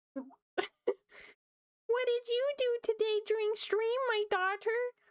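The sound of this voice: A put-on character voice at a very slow pace. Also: female-sounding voice, extremely high pitch for a woman.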